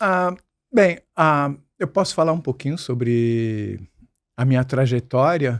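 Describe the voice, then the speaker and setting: A man's medium-pitched voice at a very slow pace, with lively intonation and long, frequent pauses, on a very clean recording with a silent background. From Brazil, Santos (São Paulo coast). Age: 60s. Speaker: musician and screenwriter, podcast guest. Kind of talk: interview conversation.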